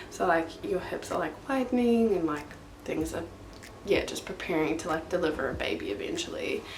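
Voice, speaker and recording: A quiet woman with a New Zealand accent speaks at a fairly quick pace, with audible room echo and noticeable background noise. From New Zealand, northern. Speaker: vlogger. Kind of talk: casual chat. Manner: quiet, low energy; talking louder over fan.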